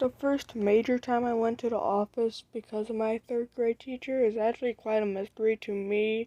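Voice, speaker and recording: Quiet and monotone with flat intonation, a woman's fairly high voice carries a dark, mellow tone at a moderate pace, the sound dry and close with no echo. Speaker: commentary YouTuber. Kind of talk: storytime monologue. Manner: casual, filler-heavy.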